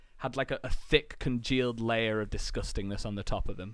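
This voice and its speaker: The speaker has an English accent. Intonation stays fairly even. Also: man. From England. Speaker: podcast co-host. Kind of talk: casual chat.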